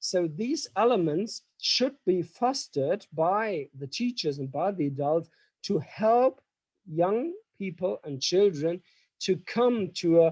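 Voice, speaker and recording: A man with a German accent and a high pitch, talking at a very slow pace, in a dry, close sound with no echo. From Germany. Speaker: professor. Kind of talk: lecture. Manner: halting.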